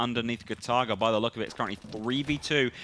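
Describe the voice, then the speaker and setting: With a British accent and a bright, sharp tone, a man talks at a very fast pace with ordinary pitch variation on a very clean recording with a silent background. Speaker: esports commentator. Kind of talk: live commentary. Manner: loud.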